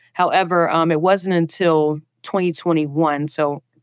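With a Southern US accent, a woman speaks at a moderate pace in a very deep, low voice with monotone, flat intonation, recorded dry and close with no echo against a quiet background. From US South, Alabama. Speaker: diversity and inclusion specialist. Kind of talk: interview.

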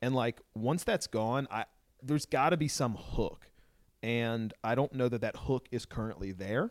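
A man with an American accent and a normal speaking voice talks at a fairly slow pace and medium pitch with ordinary pitch variation, in a dry, close sound with no echo on a very clean recording with a silent background. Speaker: soccer podcast guest. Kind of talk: casual chat.

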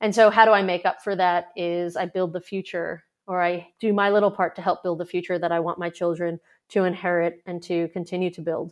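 A woman with a New York accent at a fairly quick pace, monotone and flat in intonation, over a quiet background. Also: fairly low pitch for a woman. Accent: New York American. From New York, US. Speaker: startup investor. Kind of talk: interview conversation.

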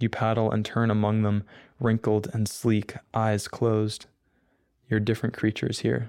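A man with an American accent talks in a monotone, flat intonation, leaving long, frequent pauses. His loudness stays very even in a very clean recording with a silent background. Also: fairly low pitch for a man, moderate pace. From US Northeast. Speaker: college student and poet. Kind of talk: poetry reading and interview.

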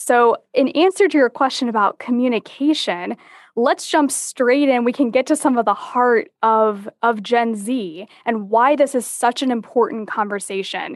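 A woman's high voice with lively intonation at a moderate pace, with hardly any pauses and very even loudness, in a dry, close sound with no echo over a quiet background. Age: 20s. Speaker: business consultant and author. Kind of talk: interview.

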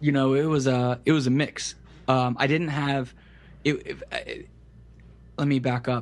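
Slow-ish and flat, a man with a fairly high pitch speaks in a monotone at a fairly slow pace with long, frequent pauses. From US South, Central Florida (Kissimmee). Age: 20s. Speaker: web developer. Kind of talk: casual interview.

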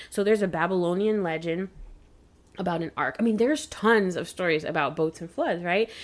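This is an ordinary speaking voice. It moves at a fairly quick pace with ordinary pitch variation. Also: woman. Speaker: podcast host. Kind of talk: casual chat.

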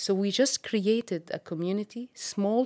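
A woman with an Arabic accent speaks in a dark, mellow tone with ordinary pitch variation. The sound is dry and close with no echo, on a very clean recording with a silent background. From Syria. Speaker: ministry worker. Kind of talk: interview testimony.

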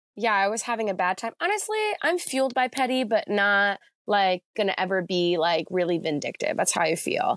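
With an ordinary speaking voice and an American accent, a woman talks at a fairly quick pace with a medium pitch, lively intonation and very even loudness, in a very clean recording with a silent background and a dry, close sound with no echo. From central New Jersey, US. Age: 30s. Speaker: muralist and street artist. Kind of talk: casual interview chat. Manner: casual, filler-heavy, reflective.

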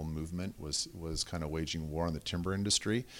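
Very deep and low, a man's voice with a West Coast accent moves at a fairly quick pace on a very clean recording with a silent background. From southern Oregon (Medford), US. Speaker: web development company founder and ski coach. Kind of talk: casual interview.

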